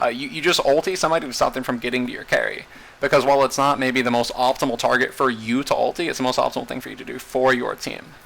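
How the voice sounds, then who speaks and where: Over noticeable background noise, a man at a medium pitch speaks at a very fast pace with hardly any pauses and big swings in loudness. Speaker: video game coach. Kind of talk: tutorial. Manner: casual, with many fillers.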